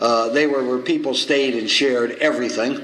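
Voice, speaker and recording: Heard over noticeable background noise, a man with a New York accent talks at a moderate pace. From New York, the Bronx. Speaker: recovery circuit speaker. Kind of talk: recovery meeting speaker share. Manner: humorous storytelling.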